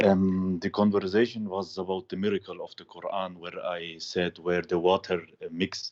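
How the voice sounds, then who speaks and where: In a dry, close sound with no echo, a man with a very deep, low pitch and a non-native accent speaks at a moderate pace with hardly any pauses, his intonation monotone and flat while his loudness swings widely. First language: not English. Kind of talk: call-in conversation. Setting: Skype call. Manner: halting, many fillers.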